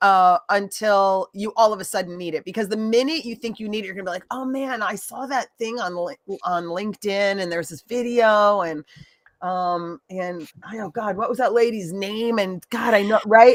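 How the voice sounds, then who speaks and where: A woman has an unremarkable speaking voice at a moderate pace. Her loudness swings widely. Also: medium pitch for a woman, ordinary pitch variation. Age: 50s. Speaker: live stream host. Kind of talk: casual chat. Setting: live stream.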